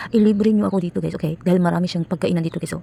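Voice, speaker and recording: A soft-spoken woman talks at a very fast pace. Noticeable background noise sits behind her. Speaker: vlogger. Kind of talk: vlog voice-over.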